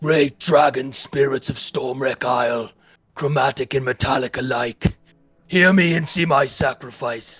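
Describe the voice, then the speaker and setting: A man bellows in a put-on character voice. He speaks at a fairly slow pace. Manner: ritual invocation.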